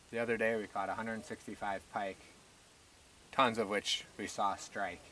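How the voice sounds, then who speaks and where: A man's fairly low, bright and sharp voice in a flat monotone, with a dry, echo-free sound over light background noise. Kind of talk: casual fishing commentary. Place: boat. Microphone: camera far.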